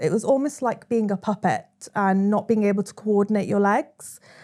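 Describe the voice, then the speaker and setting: A woman speaks with a Welsh accent. Her voice sits fairly high, and she talks at a fairly quick pace. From South Wales, Swansea. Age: 30s. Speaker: social media storyteller. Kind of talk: interview.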